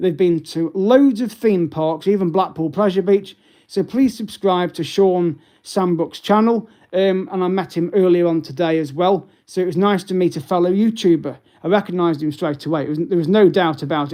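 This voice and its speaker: A man's high-pitched voice in a British accent, dark and mellow in tone, at a fairly quick pace against a quiet background. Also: ordinary pitch variation. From English Midlands, Derby. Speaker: travel and sightseeing YouTuber. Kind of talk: live stream update. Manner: hesitant, many fillers.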